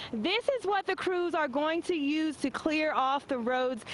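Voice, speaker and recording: Lively intonation marks a woman's high-pitched voice at a fairly slow pace. Noticeable background noise can be heard. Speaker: TV news reporter. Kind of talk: TV news field report.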